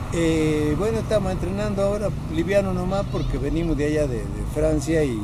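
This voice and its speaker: Speaking at a moderate pace, a man competes with loud background noise. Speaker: masters athlete. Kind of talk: interview answer. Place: stadium.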